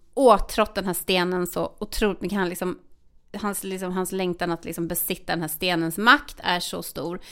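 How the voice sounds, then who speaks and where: On a very clean recording with a silent background, a woman with a normal speaking voice talks at a moderate pace, her medium pitch held in fairly even intonation. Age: 40s. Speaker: podcast co-host. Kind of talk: casual chat.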